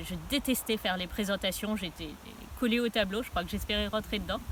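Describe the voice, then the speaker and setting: Noticeable background noise behind a female voice of ordinary pitch variation. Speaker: author. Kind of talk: personal testimony. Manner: some hesitations.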